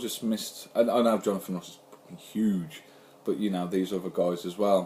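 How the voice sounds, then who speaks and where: A man's dark, mellow voice rises and falls sharply in loudness. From England, Birmingham and Andover. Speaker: YouTuber, comic collector. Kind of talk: casual chat. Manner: casual, swearing, fast chatter.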